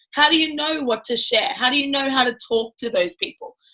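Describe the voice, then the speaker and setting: A loud woman's voice, high-pitched, with lively intonation at a moderate pace. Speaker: network marketing team leader. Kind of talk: live training talk. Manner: casual, filler-heavy.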